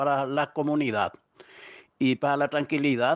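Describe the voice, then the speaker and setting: Recorded with a dry, close sound with no echo and a quiet background, a man speaks at a fairly high pitch. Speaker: neighborhood community representative. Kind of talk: interview testimony. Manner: halting, with fillers.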